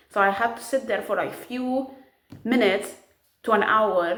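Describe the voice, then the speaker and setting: A woman's fairly high voice at a moderate pace, animated in tone with ordinary pitch variation, in audible room echo. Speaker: vlogger. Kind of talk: casual vlog. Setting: at home.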